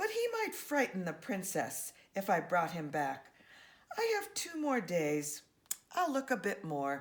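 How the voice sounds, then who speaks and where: A woman uses a put-on character voice. Her pitch is medium and her pace fairly slow. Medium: read story.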